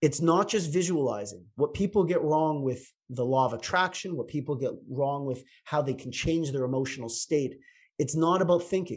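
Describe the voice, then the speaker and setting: Somewhat breathy, a man talks in a fairly high pitch with a Canadian accent. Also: very clean recording, silent background. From Canada, Toronto. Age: 50s. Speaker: chiropractor. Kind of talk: interview.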